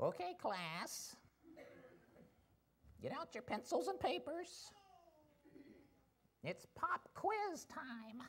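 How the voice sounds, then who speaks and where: A put-on character voice speaks at a high pitch and a very slow pace. Long pauses come frequently. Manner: cheery, authoritative.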